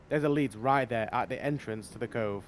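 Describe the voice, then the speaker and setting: A man in a normal speaking voice, medium in pitch with ordinary pitch variation, talks fairly quickly. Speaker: gaming YouTuber. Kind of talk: gameplay commentary.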